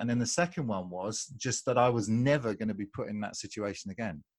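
A man with a British accent speaks at a moderate pace and medium pitch, with ordinary pitch variation, on a very clean recording with a silent background. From UK. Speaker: American football coach. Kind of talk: podcast interview.

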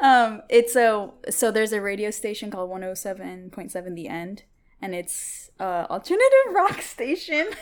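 A woman with a General American accent at a fairly slow pace. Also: fairly high pitch for a woman, lively intonation. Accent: general American, clear enunciation. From Seattle area, US. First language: Tigrinya. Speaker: guest. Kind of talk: casual chat.

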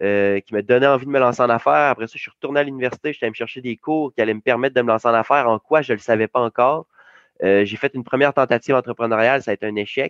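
This man's delivery is very fast. The intonation remains fairly even. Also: medium pitch for a man. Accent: Quebec. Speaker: youth esports coach and entrepreneur. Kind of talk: interview. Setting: video call.

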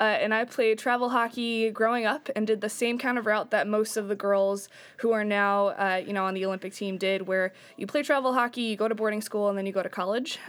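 A woman with an unremarkable speaking voice talks at a fairly quick pace with a fairly high pitch and fairly even intonation, on a very clean recording with a silent background. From upstate New York. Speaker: youth hockey coach. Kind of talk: casual interview. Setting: studio.

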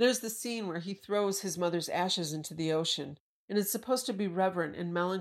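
With ordinary pitch variation and a quiet background, the text is read aloud in a natural voice.

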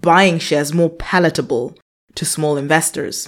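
A plain, everyday voice is heard. The pace is moderate, and the pitch variation is ordinary. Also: woman. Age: 30s. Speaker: personal finance podcast host. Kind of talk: scripted monologue answering a listener question.

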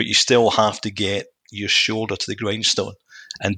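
Fairly low in pitch, a man's voice has a bright, sharp tone, vocal fry and fairly even intonation. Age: 50s. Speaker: business executive. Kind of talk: interview.

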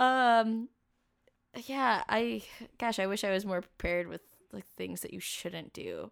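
A woman with a West Coast US accent, fairly slow pace, long, frequent pauses and big swings in loudness, in a very clean recording with a silent background. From US Pacific Northwest, Camas, Washington. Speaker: graphic designer and traveler. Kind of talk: casual interview chat.

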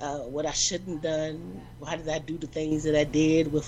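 Noticeable background noise runs beneath speech delivered at a moderate speed. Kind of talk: casual chat. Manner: animated.

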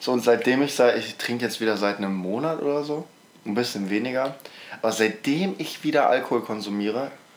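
A man speaks at a moderate pace in a medium pitch with ordinary pitch variation, stopping often for long pauses. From Mecklenburg-Vorpommern, eastern Germany. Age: young. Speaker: podcast co-host, school student. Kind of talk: casual chat.

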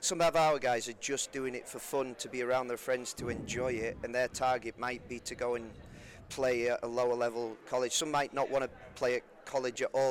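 A man delivers his words fairly quickly at a medium pitch, his intonation monotone and flat. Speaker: former pro footballer and youth director of coaching. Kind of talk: casual interview chat.

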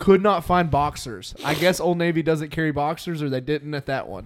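His voice is an ordinary speaking voice, sitting fairly high for a man. The pitch moves up and down in an ordinary way. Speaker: podcast host. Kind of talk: casual chat.

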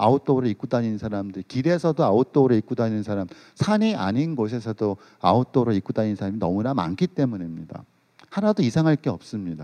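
Talking at a very fast pace with lively intonation, a man speaks in a dark, mellow tone at a medium pitch. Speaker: sociologist. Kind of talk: lecture. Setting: stage with audience.

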